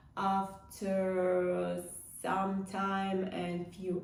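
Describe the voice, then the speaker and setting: A woman with a non-native accent and a medium pitch, amid audible room echo and noticeable background noise. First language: not English. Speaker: e-commerce vlogger. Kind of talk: casual vlog. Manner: halting, many fillers.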